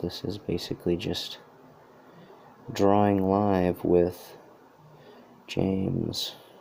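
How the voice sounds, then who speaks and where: A man mumbles in a very deep, low voice. His tone is dark and mellow. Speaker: artist drawing a hat design. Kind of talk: live tutorial commentary while drawing. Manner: mumbling; halting, many fillers.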